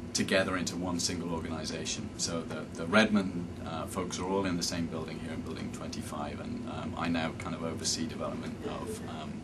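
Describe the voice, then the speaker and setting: In a British accent, a man with a very deep, low pitch speaks fairly quickly with fairly even intonation and hardly any pauses, amid noticeable background noise and audible room echo. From England, Cambridge. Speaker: software development manager. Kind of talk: interview.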